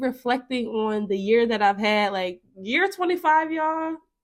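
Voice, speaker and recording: A woman speaks at high pitch with a bright, sharp tone. Her pitch swings very widely at a very slow pace. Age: 20s. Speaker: podcast host. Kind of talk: solo casual monologue. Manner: animated.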